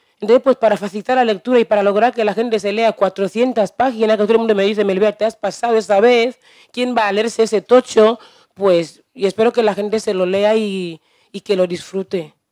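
A woman talks at a fairly quick pace in a dark, mellow tone with fairly even intonation. The sound is dry and close with no echo, on a very clean recording with a silent background. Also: fairly high pitch for a woman. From Equatorial Guinea, Evinayong. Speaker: novelist. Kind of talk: book presentation talk.

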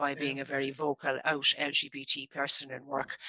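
In a Dublin accent, a woman speaks at a moderate pace, the sound dry with no echo and the background quiet. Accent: Dublin Irish. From Ireland, Dublin. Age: 50s. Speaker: local government staff network founder; guest. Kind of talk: radio interview. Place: home room.

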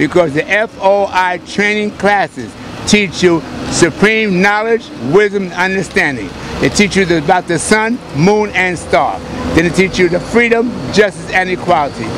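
With noticeable background noise but a dry sound with no echo, a man speaks at a moderate pace in a high pitch with ordinary pitch variation. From New York. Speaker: Nation of Islam religious teacher. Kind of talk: street preaching and promotion. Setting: outdoors on a street. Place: street. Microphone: handheld.

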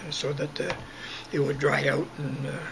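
A man speaks with background noise clearly present behind him. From Southern Alberta, Canada. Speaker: retired farmer recalling childhood. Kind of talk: oral history interview answer. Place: home room. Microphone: webcam.

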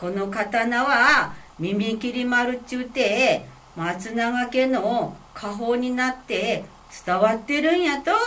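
Very slowly and in a high voice, a woman speaks in a Fukui accent with ordinary pitch variation. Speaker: kamishibai storyteller. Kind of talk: picture-story storytelling. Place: meeting room. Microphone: camera far.

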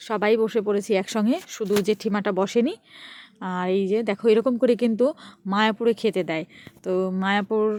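The woman has an ordinary speaking voice, fairly high in pitch, with fairly even intonation. Her recording is very clean and the background silent. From West Bengal, Nadia district. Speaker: vlogger. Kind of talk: travel vlog narration. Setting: outdoors. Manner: chatty.

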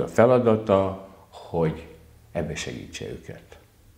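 In a room with audible echo, a man speaks in a fairly low, dark, mellow voice with very wide pitch swings. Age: 60s. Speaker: council candidate, economist; council candidate. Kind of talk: candidate interview. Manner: hesitant, repetitive. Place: studio. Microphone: lapel.

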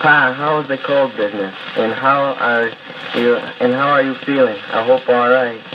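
With noticeable background noise behind him, a man keeps a moderate pace and fairly even intonation. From Utica, New York. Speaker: soldier. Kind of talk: recorded audio letter to family. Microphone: old recording.

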